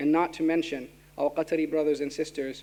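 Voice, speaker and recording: A man with a fairly high pitch speaks at a fairly quick pace in a monotone, flat intonation. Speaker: student council president. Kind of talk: formal speech. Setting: auditorium with audience. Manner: fast.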